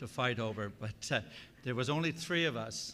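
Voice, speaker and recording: Speaking at a moderate pace with a Newfoundland accent, a man has a medium pitch and a bright, sharp tone. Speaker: church delegate. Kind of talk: informal speech to assembly.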